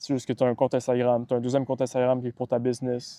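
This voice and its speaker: Talking at a very fast pace, a man with a medium pitch and a dark, mellow tone is heard in a dry, close sound with no echo over a quiet background. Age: 20s. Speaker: online business coach. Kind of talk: motivational talk to camera. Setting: outdoors by the water.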